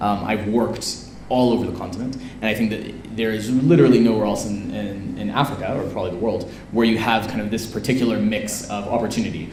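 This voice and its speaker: Speaking at a very fast pace with an American accent, a man with a fairly low voice keeps his intonation fairly even amid noticeable background noise and audible room echo. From US West Coast, San Francisco. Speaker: entrepreneur. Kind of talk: interview at live event. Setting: event with audience.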